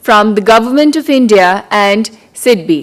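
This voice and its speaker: A woman speaks with lively intonation. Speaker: emcee. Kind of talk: corporate event hosting. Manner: formal, warm.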